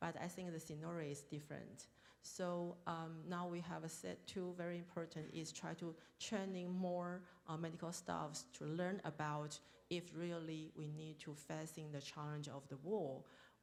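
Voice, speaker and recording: A woman talks at a fairly low pitch and a moderate pace. Her intonation is monotone and flat, with audible room echo. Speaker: deputy health minister, panelist. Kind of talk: panel discussion. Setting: stage at international forum. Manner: halting, hesitant.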